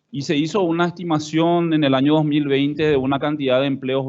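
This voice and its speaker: A man speaks in a normal speaking voice at a fairly quick pace. His pitch is fairly high, with ordinary pitch variation. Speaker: government official. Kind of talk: conference talk.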